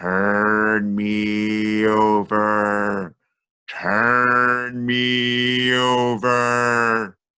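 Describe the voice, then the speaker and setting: A put-on character voice, low-pitched and very slow, with monotone, flat intonation. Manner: spooky.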